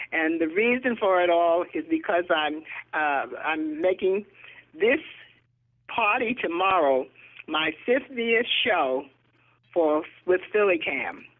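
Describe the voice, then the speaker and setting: Speaking at a very slow pace with long, frequent pauses, a woman uses a medium-pitched voice and lively intonation. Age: 80s+. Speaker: talk show co-host. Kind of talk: casual chat.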